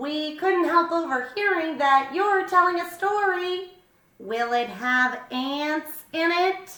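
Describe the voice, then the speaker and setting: A woman puts on a character voice pitched extremely high, talking at a fairly slow pace with a slight echo. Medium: read story.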